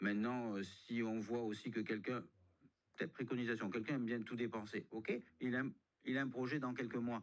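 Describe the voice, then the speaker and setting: The voice moves at a fairly quick pace but with long, frequent pauses, keeping fairly even intonation and very even loudness. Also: man, medium pitch for a man. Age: 60s. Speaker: budget consultant. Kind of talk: radio interview. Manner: halting.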